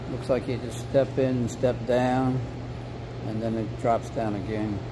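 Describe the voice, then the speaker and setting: A man speaks fairly slowly while noticeable background noise carries on. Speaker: hotel guest vlogger. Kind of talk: casual tour narration. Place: hall. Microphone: phone near.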